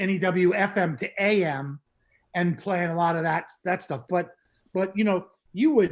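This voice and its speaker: A man's high-pitched voice with an American accent and ordinary pitch variation. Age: 60s. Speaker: music producer. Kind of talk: casual interview. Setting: video call.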